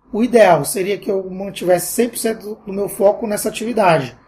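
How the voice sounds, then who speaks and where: At a high pitch and a fairly slow pace, a man speaks with ordinary pitch variation. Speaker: entrepreneur and university lecturer. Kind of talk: interview.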